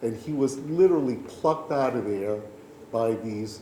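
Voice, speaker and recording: Over noticeable background noise and audible room echo, a man with a medium pitch talks very slowly, his pitch varying in an ordinary way. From New York City, Puerto Rican family. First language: Spanish. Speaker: storyteller. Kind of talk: personal storytelling.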